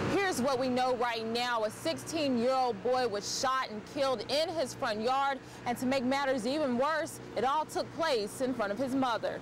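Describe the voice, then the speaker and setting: Noticeable background noise accompanies a woman whose voice has a high pitch. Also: ordinary pitch variation, moderate pace. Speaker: TV news reporter. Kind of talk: TV news report.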